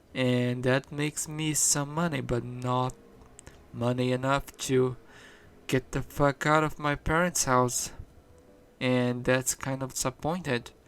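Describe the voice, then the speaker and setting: A man with a non-native accent speaks at a fairly slow pace in a flat monotone, leaving long, frequent pauses. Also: medium pitch for a man. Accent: non-native English speaker. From Brazil. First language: Portuguese. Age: 20s. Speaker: vlogger. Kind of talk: casual vlog monologue. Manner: halting, many fillers and restarts.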